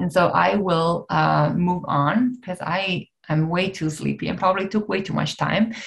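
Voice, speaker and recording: Against a quiet background, a woman speaks at a moderate pace with a fairly low pitch and an Italian accent. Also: ordinary pitch variation. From Italy. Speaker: neuroscientist and nonprofit co-founder; presenter. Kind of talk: webinar presentation. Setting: video call. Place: home room. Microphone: webcam.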